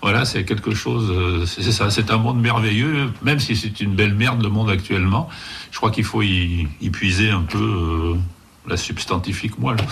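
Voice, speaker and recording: Over noticeable background noise and audible room echo, a man with a fairly low pitch talks at a moderate pace with ordinary pitch variation and very even loudness. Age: 60s. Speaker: comic book writer and artist. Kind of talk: interview.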